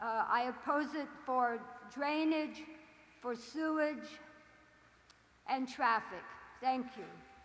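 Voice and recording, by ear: A woman's high voice at a slow pace, with ordinary pitch variation and audible room echo. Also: fairly bright tone.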